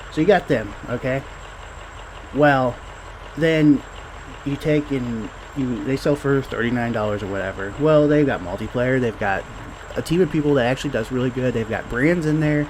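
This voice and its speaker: Mumbled speech with ordinary pitch variation and long, frequent pauses over noticeable background noise. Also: man, medium pitch for a man, moderate pace. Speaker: indie game developer. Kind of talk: casual gameplay talk. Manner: mumbling; halting.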